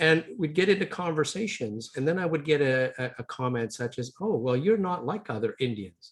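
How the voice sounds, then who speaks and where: With an Ontario accent, a man talks at a moderate pace with hardly any pauses, his fairly high pitch moving in very wide swings. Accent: Ontario Canadian. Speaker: business owner and leadership educator. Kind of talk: webinar presentation.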